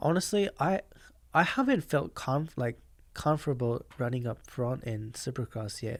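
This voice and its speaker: Talking with a Japanese accent at a moderate pace, a man holds a medium pitch with ordinary variation. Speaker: professional motocross rider. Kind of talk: podcast interview answer.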